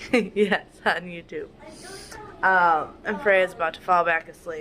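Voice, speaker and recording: Speaking with an American accent at a fairly low pitch, a woman goes at a fairly slow pace with ordinary pitch variation and noticeable background noise. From Wisconsin, with much time in Florida. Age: 20s. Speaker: vlogger, stay-at-home mom. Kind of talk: casual vlog talk to camera. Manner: casual, many fillers.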